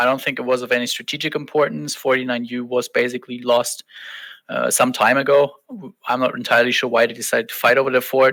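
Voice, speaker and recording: At a very fast pace, a man with a German accent speaks at a medium pitch in a bright, sharp tone with fairly even intonation, on a very clean recording with a silent background. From Germany. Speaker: online game fleet commander. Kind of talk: podcast interview.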